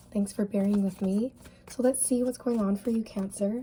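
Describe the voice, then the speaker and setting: Her fairly high, somewhat breathy voice has a dark, mellow tone, moving at a moderate pace with fairly even intonation. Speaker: tarot reader. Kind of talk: tarot reading. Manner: casual, chatty.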